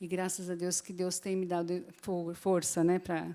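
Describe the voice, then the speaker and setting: A woman talks at a moderate pace with a fairly low pitch. Her tone is dark and mellow. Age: 60s. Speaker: Bible teacher. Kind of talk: Bible class teaching.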